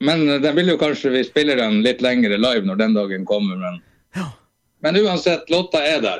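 Very wide pitch swings in a man's voice of medium pitch, delivered at a moderate pace. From Eastern Finnmark, northern Norway. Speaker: singer-songwriter. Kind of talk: casual interview.

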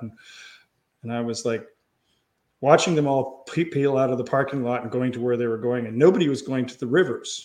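A man with a Canadian accent and medium pitch has an ordinary speaking voice. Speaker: pro paddler and kayak marketer. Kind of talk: casual chat.

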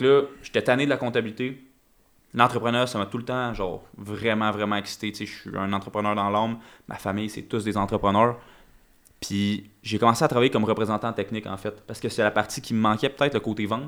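With a Quebec accent, a man speaks at a fairly quick pace and a fairly low pitch, his intonation fairly even, on a very clean recording with a silent background. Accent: Québécois French. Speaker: crypto entrepreneur. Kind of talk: casual chat.

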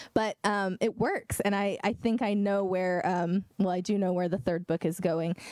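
A woman with an American accent and a plain, everyday voice speaks at a medium pitch and a moderate pace, with hardly any pauses. Her intonation is fairly even, her loudness very even, and the sound dry and close with no echo. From Oklahoma, Eufaula. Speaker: fantasy author. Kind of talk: bookstore event interview.

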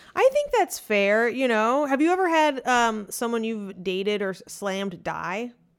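A woman speaks at a moderate pace with a fairly high pitch and lively intonation, hardly pausing at all. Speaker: stand-up comedian. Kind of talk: casual chat. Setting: at home. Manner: moves around the mic.

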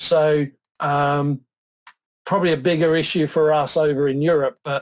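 With a British accent, a man speaks at a fairly high pitch in monotone, flat intonation. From southern England. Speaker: software product expert. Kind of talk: technical demo and interview.

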